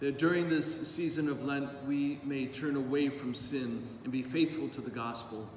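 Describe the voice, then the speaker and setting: A man's fairly high voice at a moderate pace, hardly any pauses, fairly even intonation, audible room echo and light background noise. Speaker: priest. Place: church.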